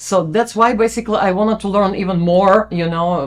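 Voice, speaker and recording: A woman with a Russian accent speaks at a moderate pace and medium pitch, her intonation fairly even. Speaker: pianist and singer, music educator. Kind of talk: interview.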